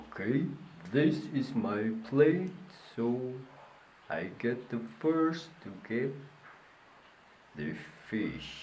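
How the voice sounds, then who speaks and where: Doing a cartoonish character voice at a medium pitch, a man moves at a very slow pace with long, frequent pauses and audible echo. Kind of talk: children's puppet show. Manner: playful, upbeat.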